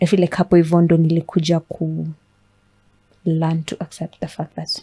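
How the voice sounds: A woman speaks low in pitch, her tone dark and mellow with a slightly husky edge. Her intonation stays monotone and flat. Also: moderate pace.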